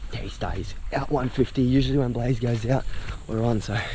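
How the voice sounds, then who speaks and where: With an Australian accent, a man talks at a fairly quick pace in a medium pitch and a flat, monotone intonation, with noticeable background noise. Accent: Australian, broad. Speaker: pig hunter. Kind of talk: hunting vlog commentary. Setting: outdoors. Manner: quiet.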